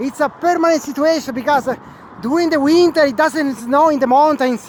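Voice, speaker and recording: A man speaks loudly at an extremely high pitch with ordinary pitch variation. Noticeable background noise runs underneath. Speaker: video blogger. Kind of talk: walking vlog reportage. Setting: outdoors on a bridge. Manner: halting.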